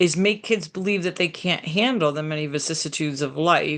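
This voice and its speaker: The speech comes at a fairly quick pace against a quiet background. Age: 60s. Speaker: therapist. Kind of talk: lecture.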